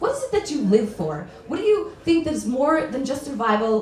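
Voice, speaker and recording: Over noticeable background noise, a woman speaks fairly quickly at a high pitch with very wide pitch swings. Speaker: spoken word poet. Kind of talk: spoken word poetry performance. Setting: live stage.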